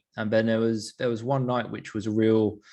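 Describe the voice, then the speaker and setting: Over a quiet background, a man with an English accent speaks at a medium pitch. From London, England. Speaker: sleep performance coach. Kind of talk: interview, personal story. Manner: casual, with many fillers.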